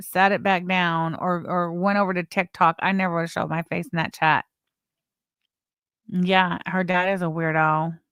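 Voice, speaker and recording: An unremarkable speaking voice at a moderate pace with fairly even intonation, in a very clean recording with a silent background. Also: woman, dry, close sound with no echo. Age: 40s. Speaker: YouTube commentary streamer. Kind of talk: live stream commentary.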